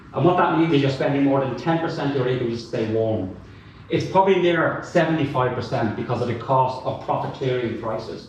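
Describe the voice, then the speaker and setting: In a Dublin accent, a man with a fairly high pitch talks at a fairly quick pace in an animated tone with lively intonation, against audible room echo and noticeable background noise. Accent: Dublin Irish. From Dublin, Ireland. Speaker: academic and climate activist. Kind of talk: panel talk.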